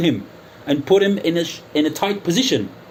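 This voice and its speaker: Noticeable noise fills the background. Over it, a man talks fairly quickly. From United Kingdom. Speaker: YouTuber. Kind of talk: angry call-out monologue. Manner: animated.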